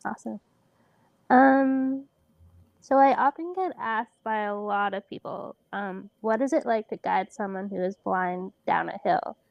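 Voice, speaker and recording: Using a normal speaking voice, a woman talks at a fairly slow pace with lively intonation and a fairly high pitch. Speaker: podcast host and blind snowboarder. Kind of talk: podcast interview host.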